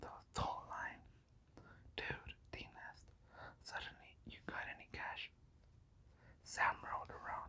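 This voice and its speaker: This voice is whispering. The pace is very slow. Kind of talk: ASMR whisper audiobook reading. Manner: whispered.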